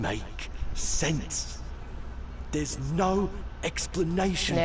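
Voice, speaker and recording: At a very slow pace, a man performs a put-on character voice over clear background noise. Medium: game stream. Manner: strained, rambling.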